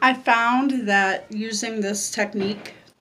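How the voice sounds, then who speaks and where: Her words come at a very slow pace. The woman's pitch sits fairly high. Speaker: vlogger. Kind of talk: tutorial.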